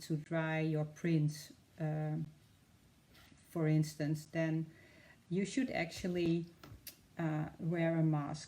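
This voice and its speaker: A woman with a very deep, low pitch and a dark, mellow tone, in a Dutch accent, monotone, flat intonation and a very slow pace. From Netherlands. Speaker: art demonstrator. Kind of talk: live tutorial. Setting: live stream. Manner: hesitant, many fillers.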